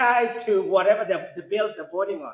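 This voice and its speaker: Speaking at a moderate pace, a man with a non-native accent uses a high pitch and ordinary pitch variation. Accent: foreign. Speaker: congressional candidate, lawyer. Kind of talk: campaign speech.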